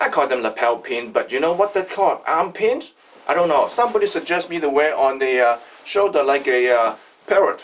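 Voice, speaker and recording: The voice is loud and moves at a fairly quick pace, with very wide pitch swings. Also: man, fairly high pitch for a man. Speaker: artisan maker, video creator. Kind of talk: casual video introduction. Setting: factory workshop.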